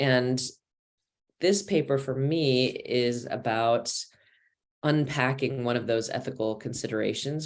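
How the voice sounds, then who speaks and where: A man with an American accent speaks at a fairly slow pace. His pitch is medium, with ordinary variation. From United States. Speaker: professor. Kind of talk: academic presentation. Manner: hesitant, with frequent fillers.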